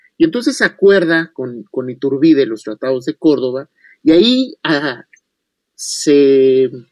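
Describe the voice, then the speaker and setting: Recorded dry and close with no echo, a man with an unremarkable speaking voice talks at a fairly slow pace in a fairly high pitch, with ordinary pitch variation. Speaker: historian. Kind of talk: radio interview, history lecture.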